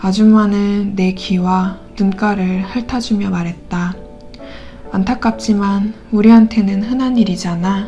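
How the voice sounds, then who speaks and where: Over background music, a woman talks very slowly in a calm tone at a medium pitch, with fairly even intonation. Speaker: audiobook reader. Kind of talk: novel narration read aloud. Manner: calm, soft-spoken.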